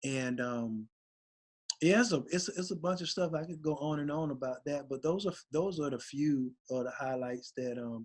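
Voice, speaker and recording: A man speaks at a moderate pace in a fairly high pitch. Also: ordinary pitch variation. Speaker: rapper. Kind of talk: interview conversation. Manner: laid back.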